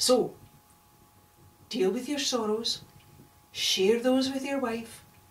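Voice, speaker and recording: A woman with a Scottish accent at a fairly slow pace, lively intonation, and noticeable background noise behind her. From Scotland. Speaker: storyteller. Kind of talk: oral storytelling performance.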